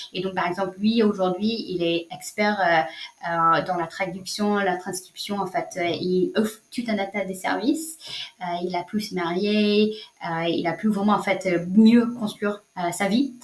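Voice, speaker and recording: With a strong non-native accent, a woman speaks at a fairly slow pace. Her pitch is medium. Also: ordinary pitch variation. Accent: strong foreign accent in French. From United States. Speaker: social entrepreneur, nonprofit founder. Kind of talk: interview answer.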